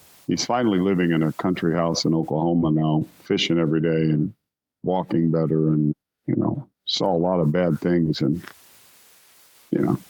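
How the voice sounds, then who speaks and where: Pausing long and often, a man with a very deep, low voice speaks at a moderate pace, with very even loudness and fairly even intonation. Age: 60s. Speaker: rock singer. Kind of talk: interview.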